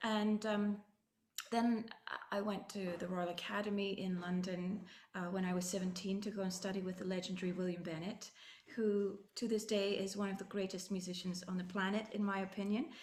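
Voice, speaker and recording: A woman with a medium pitch speaks in a flat monotone at a moderate pace, with audible room echo and noticeable background noise. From Scotland, Ayrshire west coast. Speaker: orchestral flutist. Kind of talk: interview.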